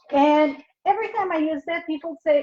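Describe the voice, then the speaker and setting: At a fairly slow pace, a woman talks in a French accent. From New Brunswick, Canada (French Canadian). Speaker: paper craft demonstrator. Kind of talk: live craft tutorial. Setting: live video stream. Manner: casual, chatty.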